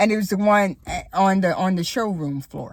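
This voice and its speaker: This woman has an American accent and a fairly low pitch. Her voice is somewhat breathy, with ordinary pitch variation. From Florida. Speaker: YouTuber. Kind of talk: casual vlog monologue. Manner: conversational with many fillers.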